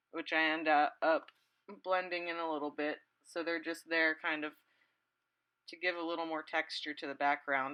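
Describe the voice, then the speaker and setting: Speaking at a moderate pace with long, frequent pauses, a woman has a very deep, low pitch, a bright, sharp tone and monotone, flat intonation. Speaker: watercolor artist. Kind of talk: time-lapse painting commentary.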